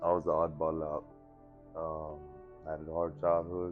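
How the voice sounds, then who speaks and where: A man's very deep, low voice with fairly even intonation, music playing behind him. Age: 30s. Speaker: person in addiction recovery. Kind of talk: interview answer. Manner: casual, reflective.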